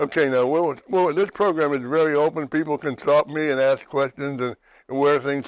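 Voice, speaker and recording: Over a very clean recording with a silent background, a man speaks with a western Pennsylvania accent. His fairly high pitch stays fairly even at a moderate pace. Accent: western Pennsylvania American. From western Pennsylvania, New Castle. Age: 80s+. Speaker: TV talk show host. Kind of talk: casual chat. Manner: halting.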